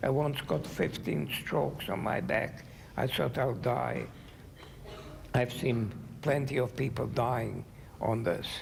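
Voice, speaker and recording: With a non-native accent, a man of medium pitch speaks at a very slow pace, his intonation lively and his loudness very even. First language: not English. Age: 80s+. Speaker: Holocaust survivor. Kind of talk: talk to students.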